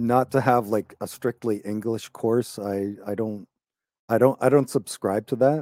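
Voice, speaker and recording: A man with a Canadian accent and a plain, everyday voice, medium pitch, fairly even intonation and a moderate pace, in a dry, close sound with no echo. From Canada, Toronto area. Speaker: English teacher. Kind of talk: casual chat. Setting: video call.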